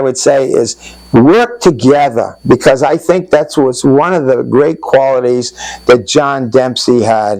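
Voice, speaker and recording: A man with an American accent at medium pitch, fairly slow in pace, with ordinary pitch variation and noticeable background noise. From Putnam, Connecticut, US. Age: 80s+. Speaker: local resident sharing flood memories. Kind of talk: oral history interview. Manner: halting.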